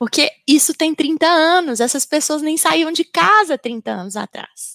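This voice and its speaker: A high-pitched woman with a Minas Gerais accent, fairly slow and lively in intonation, in a dry, close sound with no echo. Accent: Minas Gerais (mineiro). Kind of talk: panel discussion answer.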